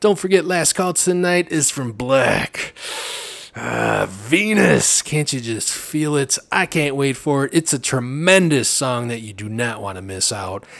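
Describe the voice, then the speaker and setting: A man's medium-pitched voice with an American accent, at a fairly slow pace, with very wide pitch swings, big swings in loudness, and noticeable background noise. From Chicago area, US Midwest. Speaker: radio host. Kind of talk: radio dj patter. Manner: animated, excitable.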